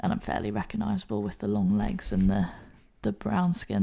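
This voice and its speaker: A very fast delivery with a British accent. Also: woman. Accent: English (UK). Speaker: rugby player and recruiter. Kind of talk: casual interview chat.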